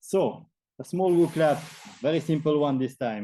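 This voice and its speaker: Ordinary pitch variation in a dark, mellow tone, delivered at a moderate pace. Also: man. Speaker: programming instructor. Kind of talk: lecture.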